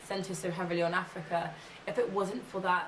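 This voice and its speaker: A woman speaks with audible room echo. Noticeable background noise can be heard too. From England, London. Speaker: ethnographic researcher and policy consultant. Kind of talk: interview monologue.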